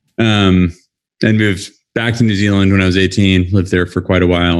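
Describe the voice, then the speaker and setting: A man's very deep, low voice with a West Coast US accent, fairly quick and fairly even in intonation, in a dry, close sound with no echo. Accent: American West Coast. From US Pacific Northwest. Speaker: mountaineer. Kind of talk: live interview. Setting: video call from US, late night.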